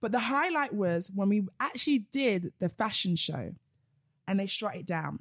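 A somewhat breathy woman with a South London accent, lively intonation and a moderate pace, on a very clean recording with a silent background. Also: medium pitch for a woman. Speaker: female empowerment coach. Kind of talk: casual chat; instruction.

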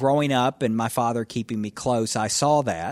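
A man with a Tennessee accent talks at a medium pitch. His pitch varies in an ordinary way. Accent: Southern US (Tennessee). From US South, northwest Tennessee. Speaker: federal judge. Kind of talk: interview.

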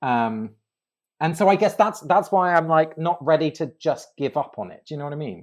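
A man with an English accent talks at a moderate pace in a fairly high pitch, with ordinary pitch variation. The recording is very clean, with a silent background. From England. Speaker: ritual designer and author. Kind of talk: casual interview chat. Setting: recorded with hosts in person.

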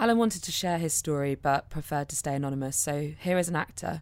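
Someone speaks at a fairly quick pace in a British accent. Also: woman. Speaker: podcast host. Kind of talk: casual chat.

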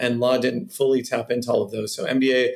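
A man with an American accent and a medium-pitched voice. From California, Cupertino. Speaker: venture capitalist. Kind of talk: interview conversation.

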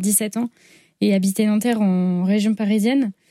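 Heard in a very clean recording with a silent background, a woman speaks in a dark, mellow tone at a medium pitch. Her pace is fairly slow and her intonation fairly even. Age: 20s. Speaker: abuse survivor and author. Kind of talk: testimony. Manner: halting.

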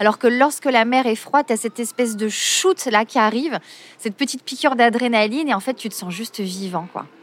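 A woman's fairly high voice comes at a fairly quick pace, its pitch varying in an ordinary way, with noticeable background noise. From Marseille, southern France. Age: 40s. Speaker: yoga teacher. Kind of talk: interview. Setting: outdoors by the sea. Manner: hesitant.

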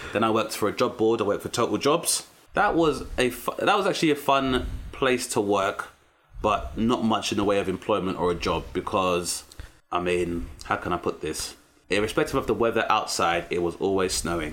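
A man speaks in a London accent with lively intonation. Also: fairly low pitch for a man, moderate pace. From South East London. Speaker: comedian. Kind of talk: casual chat.

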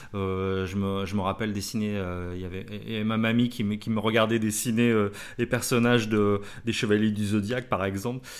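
A man speaks at a moderate pace in a fairly low voice. His intonation is monotone and flat. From France, Blois (Loir-et-Cher). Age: 40s. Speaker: tattoo artist. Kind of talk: casual chat. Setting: studio, shared single mic. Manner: halting, many fillers.

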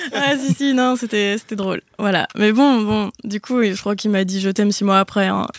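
The voice moves at a fairly slow pace with ordinary pitch variation. The sound is dry and close with no echo, though noticeable background noise is present. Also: woman, medium pitch for a woman. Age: 20s. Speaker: actress. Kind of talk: casual chat.

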